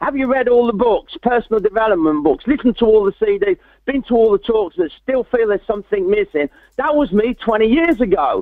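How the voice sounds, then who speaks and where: A man speaks at an extremely high pitch with an English accent. His pace is very fast. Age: 60s. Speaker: motivational speaker. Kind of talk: interview testimony. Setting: webinar. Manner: lively.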